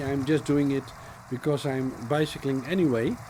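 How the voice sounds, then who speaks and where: A man with a Dutch accent at a fairly slow pace. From Netherlands. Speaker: cycling vlogger. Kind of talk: voiceover commentary. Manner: halting, many fillers.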